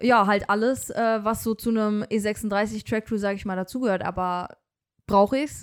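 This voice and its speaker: The recording is very clean with a silent background as a woman speaks at a moderate pace with fairly even intonation. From Germany, Bonn area. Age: 20s. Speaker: car enthusiast, car dealership employee. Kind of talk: casual chat.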